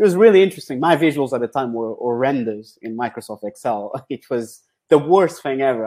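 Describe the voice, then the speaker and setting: Here a man with a Portuguese accent talks at a fairly quick pace in a medium pitch with ordinary pitch variation. His tone is dark and mellow, on a very clean recording with a silent background. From Portugal. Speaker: football data scientist. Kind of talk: interview. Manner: hesitant with fillers.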